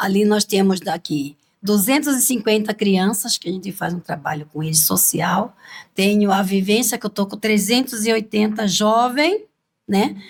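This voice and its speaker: Somewhat breathy, a woman speaks at a medium pitch and a fairly slow pace, with ordinary pitch variation. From Brazil, Cuiabá (Mato Grosso). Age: 70s. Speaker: cultural group leader, grandmother. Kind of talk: interview.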